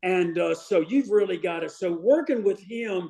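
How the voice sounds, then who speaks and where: A man speaks at a fairly slow pace, his voice high in pitch. His pitch varies in an ordinary way. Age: 60s. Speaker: strength and conditioning coach. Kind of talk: casual chat. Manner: halting.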